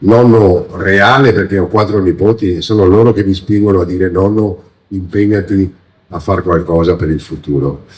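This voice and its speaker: A man talks at a moderate pace. His pitch is fairly low, with ordinary pitch variation. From Veneto, Treviso province (Motta di Livenza). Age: 60s. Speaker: local politician and candidate. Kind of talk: campaign speech. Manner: hesitant, many fillers.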